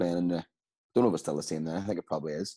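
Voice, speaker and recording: Against a quiet background, a man speaks with a very deep, low pitch, a dark, mellow tone and fairly even intonation. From Northern Ireland. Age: 30s. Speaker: amateur footballer; interviewee. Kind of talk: casual interview. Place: home room. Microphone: video call.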